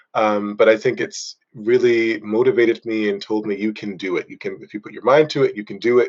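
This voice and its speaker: Moving at a fairly quick pace with hardly any pauses, a man speaks with big swings in loudness. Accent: American. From US Northeast, Boston. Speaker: runner and workshop trainer. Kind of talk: podcast interview. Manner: hesitant, many fillers.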